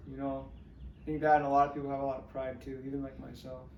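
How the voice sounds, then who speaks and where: A man talking very fast in an American accent, with audible room echo. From Northern California. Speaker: musician. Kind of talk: interview. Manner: halting.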